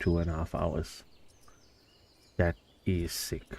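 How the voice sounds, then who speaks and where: A man with a very deep, low, somewhat breathy voice and a dark, mellow tone speaks at a very slow pace. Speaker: gaming streamer. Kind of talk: live gameplay commentary. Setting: home.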